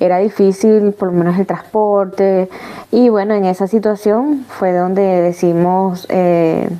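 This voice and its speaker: A woman speaks at a medium pitch with very even loudness. Noticeable background noise runs behind her. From Venezuela, Caracas. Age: 30s. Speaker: migrant sharing her life story. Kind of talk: testimony interview. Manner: halting, many false starts.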